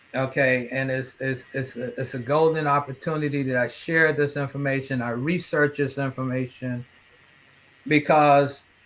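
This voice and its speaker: A man with a fairly high pitch talks in fairly even intonation as noticeable background noise carries on. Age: 60s. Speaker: cancer survivor and health advocate. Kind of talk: interview. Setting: live online broadcast. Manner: repetitive false starts.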